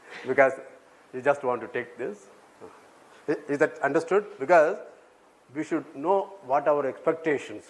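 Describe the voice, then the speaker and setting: With an Indian accent, a man talks at a moderate pace in a fairly high pitch, with ordinary pitch variation. Long, frequent pauses break up his speech. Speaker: mathematics professor. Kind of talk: lecture. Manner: interactive, checks audience often; halting.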